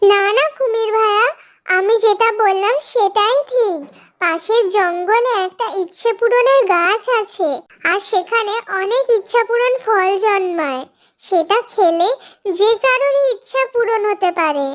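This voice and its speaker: A cartoonish character voice sits at an extremely high pitch. The pace is fairly slow. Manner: polite, earnest.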